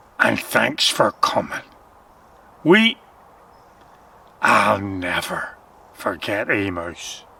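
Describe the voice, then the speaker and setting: A man speaks in a put-on character voice. His pace is very slow, with long, frequent pauses. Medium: read story.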